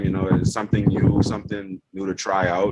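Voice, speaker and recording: A man speaks with a German accent. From Bahamas. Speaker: yacht chief engineer. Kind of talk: interview.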